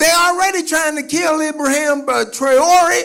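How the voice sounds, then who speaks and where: In an animated tone, a man raises and projects his voice at an extremely high pitch, with ordinary pitch variation. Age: 70s. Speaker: activist speaker. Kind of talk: speech to audience. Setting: stage with audience. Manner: repetitive stammering.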